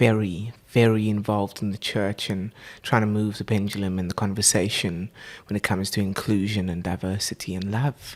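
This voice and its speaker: A speaker with a South African accent talks at a moderate pace in a flat, monotone delivery. The recording is very clean, with a silent background. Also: man, fairly low pitch for a man. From South Africa, Port Elizabeth. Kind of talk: casual interview. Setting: home recording.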